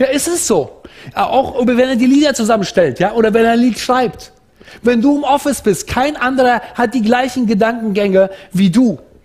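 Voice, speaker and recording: A man's extremely high voice, passionate and animated, at a moderate pace with very even loudness and ordinary pitch variation. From Central Asia. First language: Russian (speaking German). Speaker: preacher. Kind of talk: sermon. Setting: church service. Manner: passionate, animated. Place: hall. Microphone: headset.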